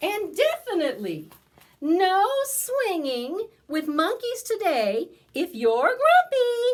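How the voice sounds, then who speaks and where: In a put-on character voice, a woman speaks at a very slow pace, her extremely high pitch making very wide swings. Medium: read story. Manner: teasing, warm.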